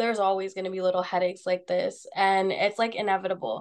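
A woman speaks against a quiet background. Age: 20s. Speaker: real estate entrepreneur. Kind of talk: casual chat.

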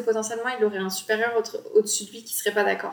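With monotone, flat intonation, a woman talks in a fairly high voice. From Bordeaux, France. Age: 20s. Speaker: graphic designer and podcast host. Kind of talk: casual solo podcast talk. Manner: relaxed, informal.

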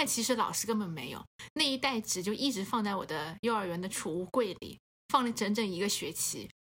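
With lively intonation, a woman of medium pitch talks at a fairly quick pace in an unremarkable speaking voice. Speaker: podcast co-host. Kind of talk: casual chat.

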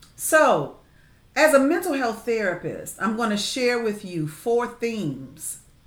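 A woman's fairly high, warm voice at a very slow pace, with audible room echo. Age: 50s. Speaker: podcast host and therapist. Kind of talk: faith-based advice talk. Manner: warm, conversational.

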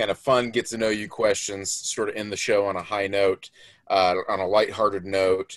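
A man with an American accent and a fairly low pitch speaks in a plain, everyday voice with fairly even intonation, the background quiet. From Florida, US. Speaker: podcast co-host. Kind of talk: casual chat.

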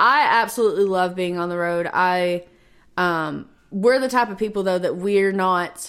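With a Southern US accent, a woman speaks at a moderate pace, her medium pitch moving with ordinary variation. The recording is very clean, with a silent background. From Kentucky, near Paducah. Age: 20s. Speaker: singer-songwriter. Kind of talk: interview.

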